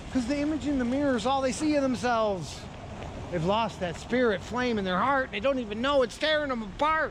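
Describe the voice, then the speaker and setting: A man's extremely high-pitched voice at a fairly quick pace, with ordinary pitch variation and audible room echo. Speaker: poet and performer. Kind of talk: performance poetry. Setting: stage with audience. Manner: dramatic.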